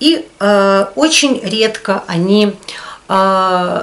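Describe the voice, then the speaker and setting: A woman speaks with lively intonation. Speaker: video blogger. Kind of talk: casual talk to camera. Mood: calm, reflective. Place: home room.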